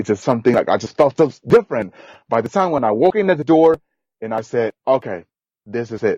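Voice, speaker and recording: Lively intonation marks this man's speech in a Guatemalan accent. The sound is dry and close, with no echo. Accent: Guatemalan non-native English. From rural Guatemala. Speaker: podcast guest, immigrant. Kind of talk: interview, personal story. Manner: repetitive, non-native phrasing.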